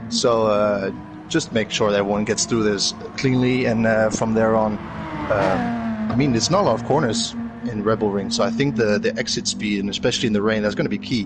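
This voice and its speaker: A man speaks in a Dutch accent at a fairly quick pace. Music plays in the background. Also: medium pitch for a man, fairly even intonation, very even loudness. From Netherlands. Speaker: sim racer, guest analyst. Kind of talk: race commentary analysis. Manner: hesitant, many fillers.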